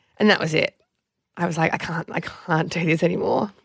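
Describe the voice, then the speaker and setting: At a moderate pace, a woman with a fairly low voice speaks in a dry, close sound with no echo. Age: 30s. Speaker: reality TV alum and Instagram influencer. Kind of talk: casual chat.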